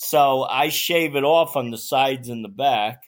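Here is a man with an American accent and a plain, everyday voice. His pitch is fairly high, his intonation fairly even, and the recording very clean with a silent background. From Staten Island, New York. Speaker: retiree and aspiring long-distance hiker. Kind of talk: casual chat.

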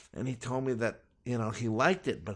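A very fast pace in an American accent. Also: man. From Los Angeles, US. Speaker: self-taught chef. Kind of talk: interview. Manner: hesitant, many fillers.

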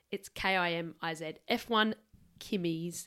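A woman speaks with an Australian accent. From Adelaide, Australia. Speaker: podcast co-host. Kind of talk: casual chat. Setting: home studio.

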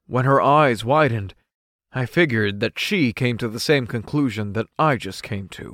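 In a very clean recording with a silent background, a man with medium pitch and a normal speaking voice talks at a moderate pace with ordinary pitch variation. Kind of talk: audiobook-style first-person narration of a fiction serial. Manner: narrative, expressive, with in-character lines and stumbling panic.

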